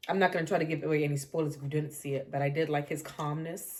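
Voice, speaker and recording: A woman speaks at a very fast pace in an American accent. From New York. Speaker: podcast co-host. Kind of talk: casual chat.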